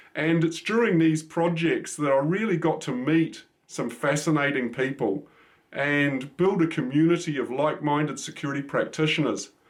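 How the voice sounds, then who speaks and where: On a very clean recording with a silent background, a man with a New Zealand accent talks at a moderate pace, his fairly high voice showing ordinary pitch variation. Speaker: cybersecurity expert. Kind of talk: channel introduction monologue. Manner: casual, with frequent fillers.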